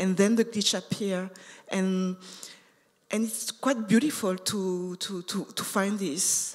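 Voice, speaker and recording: A woman with a non-native accent speaks at a fairly slow pace. Her pitch is medium and her intonation fairly even. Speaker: artist. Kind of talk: panel discussion. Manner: halting, many fillers and repetitions.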